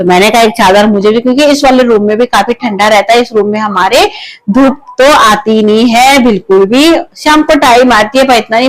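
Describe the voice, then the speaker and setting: Her voice sits fairly high and rises and falls in an ordinary way as the woman talks at a moderate pace. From Uttarakhand. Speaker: vlogger. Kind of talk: casual home vlog. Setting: at home. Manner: loud.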